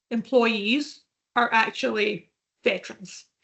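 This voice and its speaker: A woman with a Scottish accent speaks at a fairly slow pace, her fairly high voice showing ordinary pitch variation. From Scotland. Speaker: veterans recruitment professional. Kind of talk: podcast interview.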